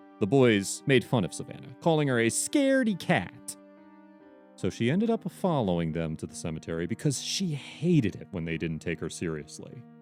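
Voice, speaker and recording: Music plays in the background. The speaker keeps a moderate pace with very wide pitch swings. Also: man, fairly low pitch for a man. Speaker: audiobook narrator. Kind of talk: children's story read-aloud.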